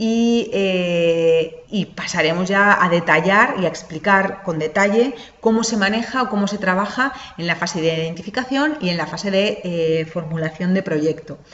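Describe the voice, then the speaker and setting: Audible room echo and noticeable background noise surround this woman's voice. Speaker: lecturer, lawyer. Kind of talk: online lecture. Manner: fast; hesitant, many fillers.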